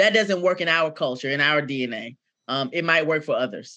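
Lively intonation marks this woman's speech. Her tone is bright and sharp, with a fairly low pitch. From Decatur, Georgia. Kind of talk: interview.

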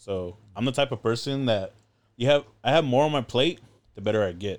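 A man with an American accent at a moderate pace, ordinary pitch variation, on a very clean recording with a silent background. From Southern California, Inland Empire. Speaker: former maritime academy student and traveler. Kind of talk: casual chat. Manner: animated.

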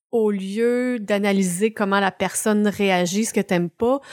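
Speaking in a Quebec accent, a woman uses a medium pitch, fairly even intonation and a fairly slow pace. The recording is very clean with a silent background and a dry, close sound with no echo. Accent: Québécois French. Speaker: podcast co-host. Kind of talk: casual chat.

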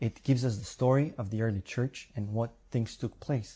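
Somewhat breathy male voice with a dark, mellow tone, at a moderate pace over a quiet background. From Bulgaria. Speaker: preacher. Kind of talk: sermon.

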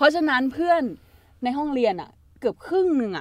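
The woman's high-pitched voice moves with lively intonation. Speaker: content creator. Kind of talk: casual chat.

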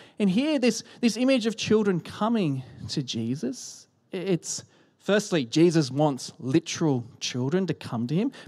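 A man with an Australian accent speaks at a fairly slow pace in a high voice with very wide pitch swings, on a very clean recording with a silent background. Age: 30s. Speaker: pastor. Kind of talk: sermon. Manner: animated.

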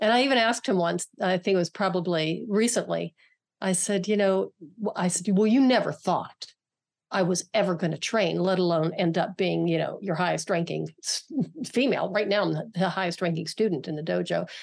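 Fairly quick and with an American accent, a woman speaks with vocal fry. Her pitch varies in an ordinary way. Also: medium pitch for a woman. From western Pennsylvania, near Pittsburgh. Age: 60s. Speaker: martial artist and author. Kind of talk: interview conversation.

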